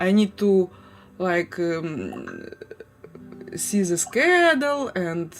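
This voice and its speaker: Very slow, with long, frequent pauses, a woman of fairly low pitch speaks with lively intonation in a Ukrainian accent over noticeable background noise. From Ukraine, Crimea and Kharkiv. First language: Ukrainian or Russian. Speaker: livestreamer. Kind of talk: casual chat. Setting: home livestream. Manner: halting.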